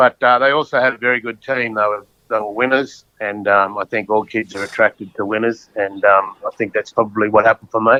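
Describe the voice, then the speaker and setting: Speech comes at a fairly quick pace with hardly any pauses. The speaker has an Australian accent. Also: man, fairly low pitch for a man. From Queensland, Australia. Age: 60s. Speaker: former rugby league player. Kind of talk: casual interview chat.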